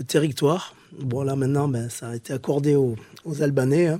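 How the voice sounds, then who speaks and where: The man's tone is dark and mellow, and his pace stays moderate. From southern France, Pyrenees. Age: 40s. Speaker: former special forces soldier and musician. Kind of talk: interview testimony. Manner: halting, with many hesitations.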